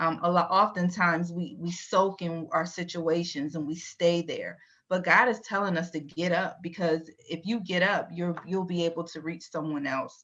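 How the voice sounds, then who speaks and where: Here is a woman with a plain, everyday voice and a fairly low pitch. She moves at a moderate pace with fairly even intonation. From Virginia, US. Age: 40s. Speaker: IT transformation leader. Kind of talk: interview.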